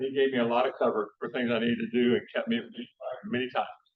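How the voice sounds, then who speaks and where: A man speaks with a West Texas accent. He talks very fast. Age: 70s. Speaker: conservation scientist and speaker. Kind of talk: public lecture. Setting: talk to a live audience. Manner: informal, many fillers and restarts.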